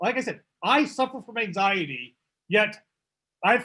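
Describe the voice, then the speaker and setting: A man's high-pitched voice with lively intonation. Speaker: public speaking presenter; public presenter. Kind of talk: workshop talk. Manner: fast. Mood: warm, reassuring.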